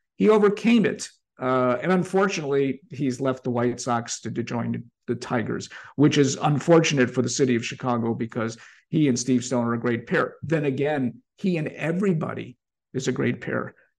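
Vocal fry runs through a man's voice as he speaks with lively intonation. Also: medium pitch for a man, moderate pace. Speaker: sports journalist and podcast host. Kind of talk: interview conversation.

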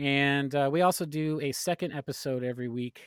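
A man speaks in a relaxed tone at a moderate pace with ordinary pitch variation, in a dry, close sound with no echo. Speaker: podcast guest, fellow podcast host. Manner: relaxed, conversational.

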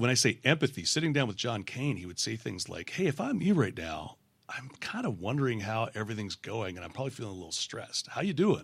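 A man at medium pitch talks very fast with hardly any pauses, his pitch swinging very widely and his loudness rising and falling sharply over a quiet background. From Western Canada (Vancouver). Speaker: leadership coach. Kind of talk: casual interview.

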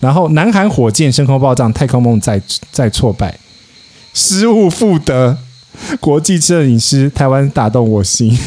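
A man's medium-pitched voice at a fairly slow pace, very wide pitch swings, very even loudness and long, frequent pauses over noticeable background noise. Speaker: podcaster. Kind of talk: casual chat. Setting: outdoors at a hillside teahouse.

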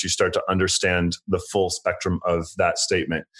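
A man with an ordinary speaking voice at a fairly low pitch and moderate pace, over a quiet background. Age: 40s. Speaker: interior and landscape designer. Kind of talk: casual chat.

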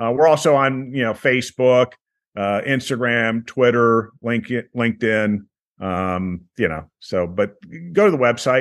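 An ordinary speaking voice with ordinary pitch variation at a fairly slow pace. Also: man, medium pitch for a man. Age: 60s. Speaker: beer travel tour operator. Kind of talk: interview.

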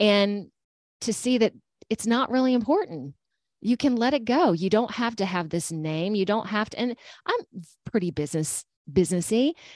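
A normal speaking voice from a woman at medium pitch, lively in intonation, with a dry, close sound and no echo. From Georgia, US South. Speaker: intuitive energy healer and meditation teacher. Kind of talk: casual interview.

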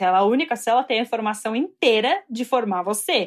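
Animated in tone, a woman speaks at a fairly quick pace and a high pitch. The recording is very clean, with a silent background. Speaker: doctoral student in biology. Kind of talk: interview.

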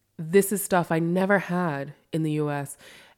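In a plain, everyday voice, a woman speaks at a fairly low pitch with ordinary pitch variation on a very clean recording with a silent background. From US. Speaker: novelist living in Berlin. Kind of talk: casual chat. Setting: kitchen table, in person.

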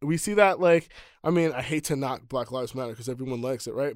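A man with a New York accent sounds animated in a dry, close recording with no echo. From New York City, the Bronx; Jamaican parents. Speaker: nonprofit organizer, activist. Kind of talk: casual chat.

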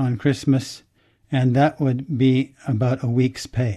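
A man speaks with an American accent at a medium pitch. His tone is dark and mellow, and somewhat breathy. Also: quiet background. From United States. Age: 70s. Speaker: amateur Chinese character researcher. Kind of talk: interview.

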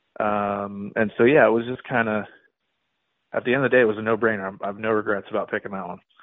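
In an American accent, a man with a fairly low voice speaks very fast in a flat monotone. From California. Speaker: professional golfer. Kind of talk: interview.

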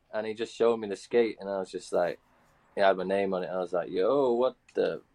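A man with an English accent, recorded with a dry, close sound and no echo. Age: 30s. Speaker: pro inline skater. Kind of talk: casual chat.

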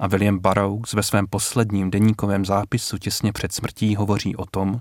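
A man speaks with a fairly low voice, recorded dry and close with no echo. The recording is very clean, with a silent background. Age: 30s. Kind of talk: radio interview. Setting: radio studio.

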